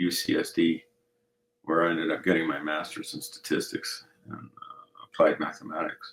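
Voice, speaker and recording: Speaking at a moderate pace with a slight Colorado accent, a man shows big swings in loudness. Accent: slight Colorado twang. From Colorado, US (born in Mexico). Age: 60s. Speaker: navy veteran and real estate investor. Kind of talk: casual interview chat.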